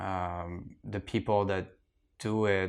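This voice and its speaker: A man with a French accent speaks at a fairly low pitch, his intonation fairly even, against a quiet background. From France. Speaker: archaeologist. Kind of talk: casual interview. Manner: hesitant, many fillers.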